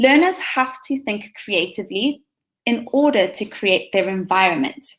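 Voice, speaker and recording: With a South African accent, a woman speaks at a high pitch and a moderate pace, her pitch swinging very widely. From South Africa, Western Cape (Hermanus). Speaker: teacher. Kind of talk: conference presentation.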